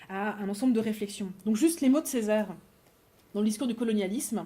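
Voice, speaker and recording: A woman's voice sits fairly high in pitch. The tone is dark and mellow, somewhat breathy. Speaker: philosophy lecturer. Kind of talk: academic lecture. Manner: fast; hesitant, repeats words.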